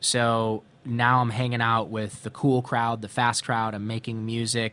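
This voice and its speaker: Against a quiet background, a man with an American accent speaks at a fairly slow pace. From Ohio, US Midwest. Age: 40s. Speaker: author and wellness entrepreneur. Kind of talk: interview, personal life story.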